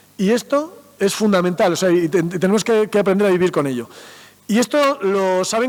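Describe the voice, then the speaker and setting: An animated man over noticeable background noise. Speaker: mathematician and science communicator. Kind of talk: talk to school students. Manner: fast.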